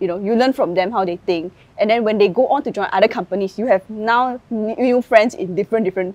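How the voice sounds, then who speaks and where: A woman's very fast speech with lively intonation. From Singapore. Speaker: content creator and tech worker. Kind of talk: interview conversation. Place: garden. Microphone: lapel.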